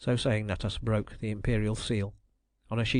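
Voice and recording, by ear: Natural-voiced reading aloud over a hushed background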